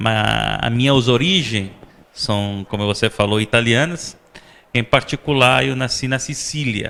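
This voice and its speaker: A man's medium-pitched voice, bright and sharp in tone, at a fairly slow pace with ordinary pitch variation. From Sicily, Italy. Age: 40s. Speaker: vice-consul and chef. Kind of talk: interview. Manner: halting, many fillers.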